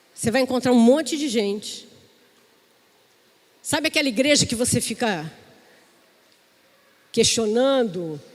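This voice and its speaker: A woman's high voice with lively intonation, at a fairly slow pace with long, frequent pauses. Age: 60s. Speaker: pastor. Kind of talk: sermon.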